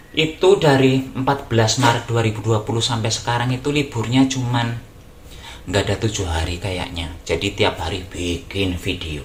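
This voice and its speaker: A man speaks at a moderate pace with a medium pitch and lively intonation, over noticeable background noise. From Java, Indonesia. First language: Javanese (speaking Indonesian). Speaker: YouTuber. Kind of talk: casual vlog talk. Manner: halting, many fillers.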